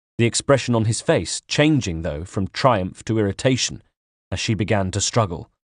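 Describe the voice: Plain reading aloud sits over a quiet background.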